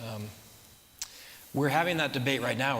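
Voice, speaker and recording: Noticeable background noise and audible room echo fill the recording. A man speaks with ordinary pitch variation. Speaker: real estate developer, company CEO. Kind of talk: audience Q&A at a talk. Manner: fast.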